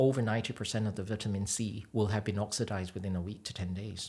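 A man speaks in a somewhat breathy voice. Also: very clean recording, silent background. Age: 40s. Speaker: cosmetic doctor. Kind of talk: interview. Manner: halting.

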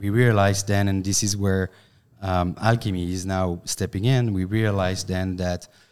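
In a French accent, a man with a fairly low pitch talks at a moderate pace with monotone, flat intonation on a very clean recording with a silent background. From France. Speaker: company finance executive. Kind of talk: casual chat. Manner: halting.

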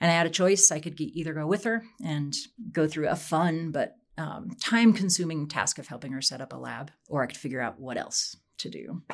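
Delivered at a fairly quick pace, a normal speaking voice carries lively intonation. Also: woman, fairly low pitch for a woman. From Wyoming, US. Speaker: professor, aging and exercise researcher. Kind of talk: interview.

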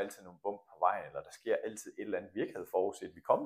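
A man is speaking. His pace is very fast. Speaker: coach and former badminton coach. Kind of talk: interview.

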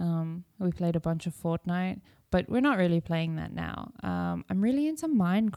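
The pace of this woman's speech is moderate. Her sound is dry and close, without any echo. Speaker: podcast host. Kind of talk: casual chat.

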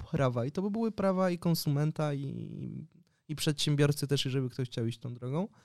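A man's plain, everyday voice at a moderate pace, with ordinary pitch variation, on a very clean recording with a silent background. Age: 20s. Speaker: journalist and sociologist. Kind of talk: casual interview.

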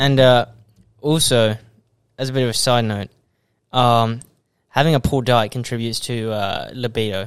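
Long, frequent pauses break up this fairly even delivery in an Australian accent, captured in a very clean recording with a silent background. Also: man, medium pitch for a man, moderate pace. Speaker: podcast host, supplement seller. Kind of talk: casual chat.

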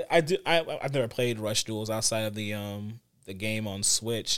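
A man with an unremarkable speaking voice, medium pitch and moderate pace. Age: 30s. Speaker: gaming podcast co-host. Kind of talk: casual chat.

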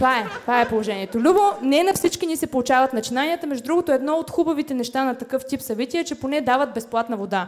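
A woman talks at a very fast pace with hardly any pauses, high in pitch and with lively intonation. Noticeable background noise runs underneath. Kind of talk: stand-up comedy roast set. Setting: stage with live audience.

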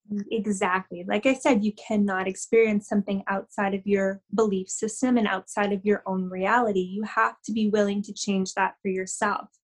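At a moderate pace and with hardly any pauses, a woman with a Canadian accent talks in a somewhat breathy, medium-pitched voice with fairly even intonation, recorded dry and close with no echo. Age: 30s. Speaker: spiritual energy healer. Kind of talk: casual interview chat.

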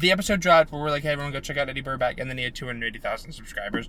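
Mumbling at a very fast pace, a man with a fairly high pitch speaks with ordinary pitch variation. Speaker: podcast co-host. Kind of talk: casual chat. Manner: sometimes loud.

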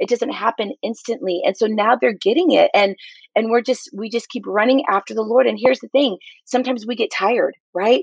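A woman speaks at a fairly quick pace in a fairly high pitch, with ordinary pitch variation. She has a plain, everyday voice, and the sound is dry and close with no echo. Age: 40s. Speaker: young adult pastor. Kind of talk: interview testimony.

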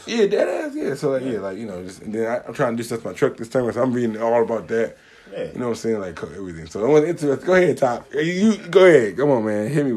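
A man at medium pitch races along at a very fast pace with hardly any pauses, very wide pitch swings and big shifts in loudness, over noticeable background noise. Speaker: podcast co-host. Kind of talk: casual, slangy. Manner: fast talker.

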